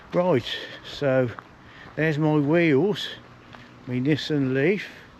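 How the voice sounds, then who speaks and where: A man speaks at a very slow pace in a fairly high pitch. Noticeable background noise runs under his voice. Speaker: walking vlogger. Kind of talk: casual vlog narration. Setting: outdoors.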